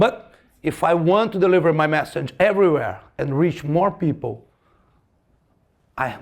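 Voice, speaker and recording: A man at a moderate pace with lively intonation. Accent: Portuguese. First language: Portuguese. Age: 50s. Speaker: martial arts teacher. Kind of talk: lecture. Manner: halting, repeats words.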